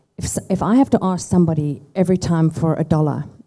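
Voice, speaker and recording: Her pitch very deep and low, a woman speaks with a dark, mellow tone in a South African accent. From South Africa and US (Chicago). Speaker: tech company founder. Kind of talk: fireside chat interview.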